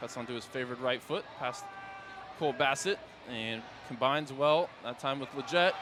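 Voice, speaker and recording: Energetic in tone, a man speaks at medium pitch and a fairly quick pace with lively intonation over noticeable background noise. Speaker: radio play-by-play soccer commentator. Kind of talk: live sports play-by-play commentary. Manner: fast, energetic.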